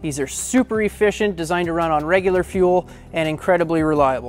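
With faint music in the background, a man talks at a moderate pace with fairly even intonation. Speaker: boat sales specialist. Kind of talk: product walkthrough presentation. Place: shop.

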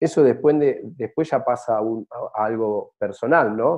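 The background stays quiet. A man talks. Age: 40s. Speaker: travel business owner; interview guest. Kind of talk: interview. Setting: at home, remote. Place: home room. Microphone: video call.

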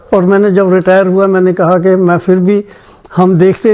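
A man is speaking here. His pitch sits high for a man. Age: 80s+. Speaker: retired bank officer. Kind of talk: interview answer. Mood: aggrieved, reflective. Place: home room.

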